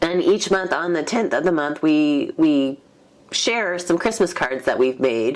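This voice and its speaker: Noticeable background noise sits behind a woman's voice. She speaks at a fairly slow pace with lively intonation. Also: fairly low pitch for a woman. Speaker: card-making YouTuber. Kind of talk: casual craft show-and-tell.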